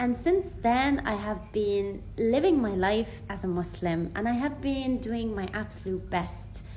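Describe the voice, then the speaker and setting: Speaking at a fairly slow pace in an Irish accent, a woman uses ordinary pitch variation amid audible room echo. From Ireland. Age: 20s. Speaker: vlogger. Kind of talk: personal testimony. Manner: casual, conversational.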